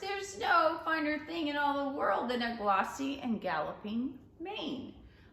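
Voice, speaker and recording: A woman uses a put-on character voice at high pitch and a moderate pace, with slight echo. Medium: read story. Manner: pompous, throat-clearing.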